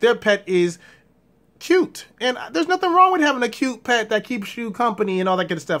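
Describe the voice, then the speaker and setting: A man's voice comes through with a bright, sharp tone. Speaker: blind vlogger with guide dog. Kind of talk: casual vlog monologue. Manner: fast.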